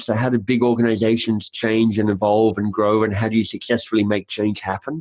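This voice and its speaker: Male voice of medium pitch with a slight Australian accent, at a fairly quick pace. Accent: faint Australian. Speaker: author and coach. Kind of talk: interview. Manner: fast; animated.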